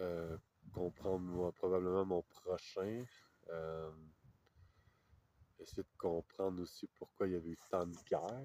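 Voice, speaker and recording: Very slow, with long, frequent pauses, a man speaks at a very deep, low pitch in a dark, mellow tone with fairly even intonation, the sound dry and close with no echo. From Quebec, Canada. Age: 30s. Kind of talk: interview answer. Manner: hesitant, reflective, many fillers.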